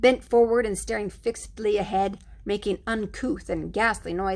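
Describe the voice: The speaker is reading aloud. It is plain reading aloud.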